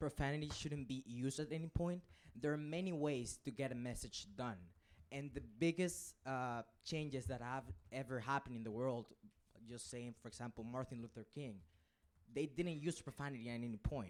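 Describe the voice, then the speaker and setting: A man with a non-native accent, medium pitch and ordinary pitch variation, at a fairly quick pace with long, frequent pauses. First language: not English. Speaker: student speaking from the gallery. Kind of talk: council debate speech.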